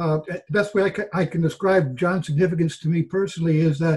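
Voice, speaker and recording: A man speaks in a high pitch. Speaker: guest. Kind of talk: informal memorial remarks. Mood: reflective, searching for words. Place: home room. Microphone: webcam.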